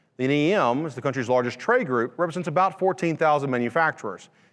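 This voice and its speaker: A man talks at a very fast pace. He has a Louisiana accent. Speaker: manufacturing education director. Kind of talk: conference presentation.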